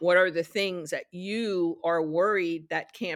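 A woman with an American accent and an unremarkable speaking voice, fairly low in pitch and fairly slow in pace, on a very clean recording with a silent background. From New York, Yonkers. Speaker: television production executive. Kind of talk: interview.

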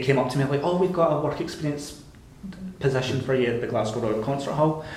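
Over noticeable background noise, a man with a Scottish accent talks very fast at a medium pitch and with fairly even intonation. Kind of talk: casual chat. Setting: studio.

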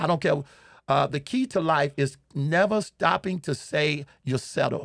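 Lively intonation carries this fairly slow delivery. The sound is dry and close with no echo, in a very clean recording with a silent background. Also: man. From Chicago, US. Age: 60s. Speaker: pastor and comedian. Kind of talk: humorous interview, storytelling. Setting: studio. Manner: animated, humorous storyteller.

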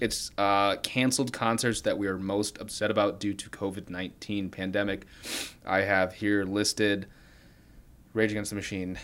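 A man's unremarkable speaking voice, fairly low in pitch, at a moderate pace. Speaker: college radio podcast host. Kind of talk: casual chat. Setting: apartment bedroom.

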